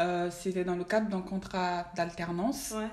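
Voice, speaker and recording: A woman speaks at a very slow pace and a medium pitch. Her pitch varies in an ordinary way, with noticeable background noise behind her. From Mali. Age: 20s. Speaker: finance professional. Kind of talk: casual chat.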